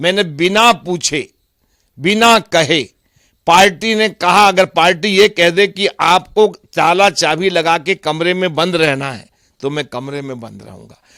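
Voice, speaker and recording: Here is a man with a high pitch and a bright, sharp tone. His loudness swings widely while his pitch varies in an ordinary way. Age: 60s. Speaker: politician. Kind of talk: interview.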